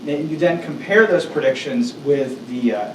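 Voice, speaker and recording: Over noticeable background noise and audible room echo, a man with a fairly high pitch talks with lively intonation. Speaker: workshop presenter, data scientist. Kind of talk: lecture. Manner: fast.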